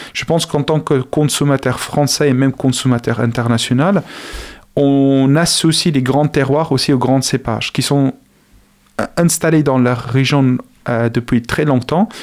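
A man speaks with a South African accent at a medium pitch and a fairly slow pace. His intonation is fairly even and his loudness very even. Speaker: agronomy researcher and lecturer. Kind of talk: radio interview. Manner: halting, many repetitions.

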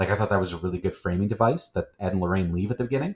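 On a very clean recording with a silent background, a man speaks at a very fast pace in a very deep, low pitch, somewhat breathy, with ordinary pitch variation. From Gananoque, Ontario, Canada. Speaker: podcast host. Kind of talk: casual chat, movie podcast.

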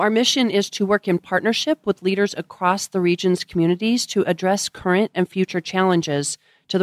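A plain, everyday voice with an American accent moves at a fairly quick pace with ordinary pitch variation, recorded very cleanly against a silent background with a dry, close sound and no echo. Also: woman. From Colorado. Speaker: nonprofit executive. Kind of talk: interview. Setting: in person.

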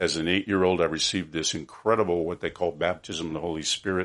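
A man speaks at a very deep, low pitch. His intonation is fairly even against a quiet background. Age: 70s. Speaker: author. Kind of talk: interview.

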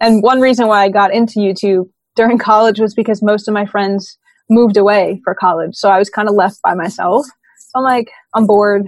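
A woman with an American accent and a normal speaking voice, medium in pitch, fairly quick in pace, with fairly even intonation. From US Northeast, Brooklyn, New York. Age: 20s. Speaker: professional drummer and YouTuber. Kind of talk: interview about mental health.

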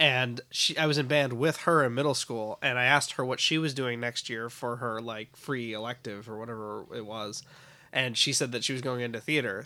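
Bright and sharp in tone, a man with an American accent speaks at medium pitch and a fairly quick pace with fairly even intonation, in a very clean recording with a silent background. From US South, Richmond, Virginia. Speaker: actor, producer and director. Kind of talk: casual chat.

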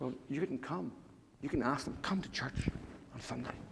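A man talks with an Irish accent, lively intonation and vocal fry. His voice carries audible room echo. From Ireland. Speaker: pastor. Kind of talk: sermon.

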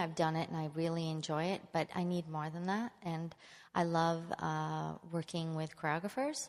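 Fairly low pitch from a woman with an unremarkable speaking voice, a moderate pace, and a very clean recording with a silent background. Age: 40s. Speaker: retiring principal ballet dancer. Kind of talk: onstage interview. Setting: stage with audience.

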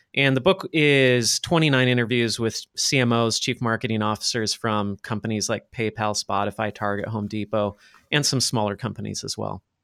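A man with an American accent and a medium pitch speaks at a moderate pace with hardly any pauses and ordinary pitch variation, in a dry, close sound with no echo. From US West Coast, Los Angeles. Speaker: marketing agency owner and author. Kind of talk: podcast interview.

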